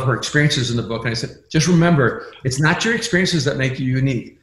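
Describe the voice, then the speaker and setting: A man's fairly high voice at a very fast pace, with noticeable background noise and audible room echo. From immigrant from another country. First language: not English. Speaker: pastor and author. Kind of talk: podcast interview.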